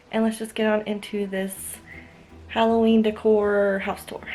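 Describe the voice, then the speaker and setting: A woman speaks at a fairly high pitch. There is music in the background. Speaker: home decor vlogger. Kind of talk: house tour vlog. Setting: at home, handheld camera. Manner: soft-spoken; casual with many fillers.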